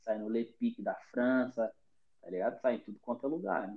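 This man has a plain, everyday voice at medium pitch, speaking at a fairly quick pace with lively intonation. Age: 20s. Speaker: football podcast host. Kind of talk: casual chat. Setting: remote call from home.

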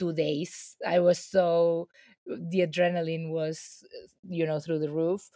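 A woman with a Spanish accent has a very deep, low pitch and a dark, mellow tone. She speaks at a fairly slow pace. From Spain, Ibiza. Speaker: filmmaker. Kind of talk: interview.

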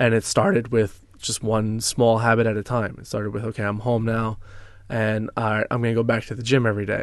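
In a normal speaking voice, a man talks at a moderate pace with a medium pitch. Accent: American. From US suburbs, same town as co-host. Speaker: former addict sharing recovery story. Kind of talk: personal testimony in casual interview.

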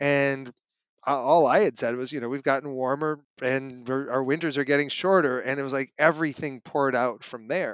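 An American man with a normal speaking voice talks at a moderate pace and a fairly high pitch, with fairly even intonation, on a very clean recording with a silent background. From Minnesota. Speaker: climate scientist. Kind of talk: interview.

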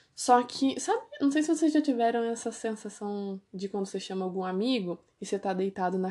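Against a quiet background, a woman talks at a moderate pace in a fairly high pitch. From Brazil, Ourinhos, São Paulo state. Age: 20s. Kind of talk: testimony. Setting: at home. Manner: casual, conversational.

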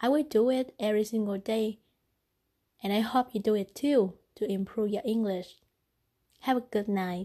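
At a moderate pace and with a non-native accent, a woman speaks in a dark, mellow tone at fairly high pitch, using ordinary pitch variation and long, frequent pauses. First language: not English. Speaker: podcaster. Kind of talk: casual monologue.

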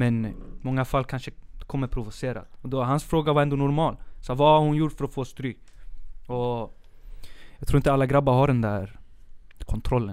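A man of medium pitch talks at a moderate pace with fairly even intonation. Long, frequent pauses break up his speech. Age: 20s. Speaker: art teacher student and artist, new podcast co-host. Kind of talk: casual chat. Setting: studio.

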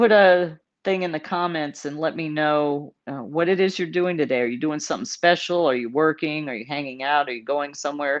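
A woman's very deep, low voice with an American accent, at a moderate pace, over a quiet background. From Texas, San Antonio. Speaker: veteran entrepreneur and show host. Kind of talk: casual vlog monologue. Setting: hotel room. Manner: casual, with frequent fillers.

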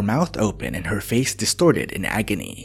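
Very wide pitch swings and vocal fry from a man in a dramatic tone. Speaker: true crime podcast narrator. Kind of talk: true-crime narration, scripted storytelling. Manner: measured, solemn, steady pacing; dramatic, graphic detail delivered gravely.

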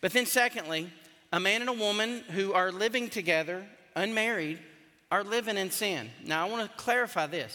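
A man with a Southern US accent projects a raised, bright, sharp voice at a high pitch, moving at a moderate pace. His loudness swings widely while his pitch varies in an ordinary way. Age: 50s. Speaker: pastor. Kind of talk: sermon. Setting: church.

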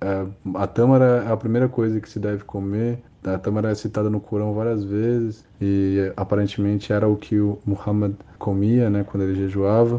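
At a moderate pace, a man speaks with a fairly low pitch in a monotone, flat intonation. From Brazil. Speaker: audiovisual producer. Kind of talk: interview testimony.

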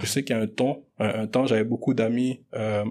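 An ordinary speaking voice, a man's, at a fairly quick pace with fairly even intonation. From Montreal (Anjou, Rivière-des-Prairies), Congolese-born. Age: 20s. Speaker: business student. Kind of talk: casual debate.

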